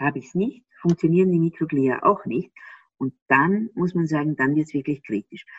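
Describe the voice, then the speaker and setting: A woman with a very deep, low pitch talks at a moderate pace with ordinary pitch variation. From Austria. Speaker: gut health expert. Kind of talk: interview.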